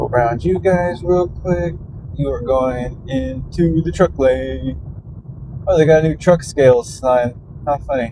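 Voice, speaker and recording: Behind a man's fairly slow delivery, background noise is noticeable. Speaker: vlogger. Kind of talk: casual monologue while driving. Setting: in a truck. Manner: quieter than usual, conversational volume; usually loud.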